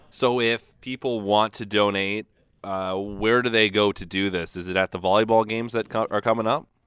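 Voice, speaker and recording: A man with a Canadian accent and a normal speaking voice, fairly low in pitch at a moderate pace, dry and close with no echo on a very clean recording with a silent background. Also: fairly even intonation. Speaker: sports radio host. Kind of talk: radio sports show podcast. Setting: radio studio.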